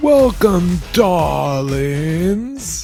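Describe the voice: A man puts on a husky character voice with a British accent, pitched high. Music plays in the background.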